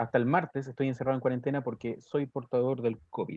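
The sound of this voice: Speaking fast, a man with a medium pitch and a slightly mellow tone shows little pitch movement.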